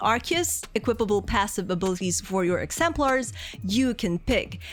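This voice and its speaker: Music in the background accompanies a woman's voice. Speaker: game reviewer. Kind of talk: video game review narration.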